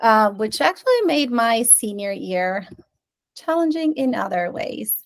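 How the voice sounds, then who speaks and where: Speaking in a Spanish accent, a woman uses a fairly high pitch and lively intonation at a fairly slow pace. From Venezuela. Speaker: curriculum specialist. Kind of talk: presentation.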